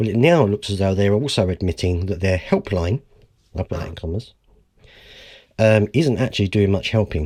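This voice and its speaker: On a very clean recording with a silent background, a man with a dark, mellow tone speaks at a moderate pace in a fairly low pitch with ordinary pitch variation. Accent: British. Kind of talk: reading aloud news article; casual commentary.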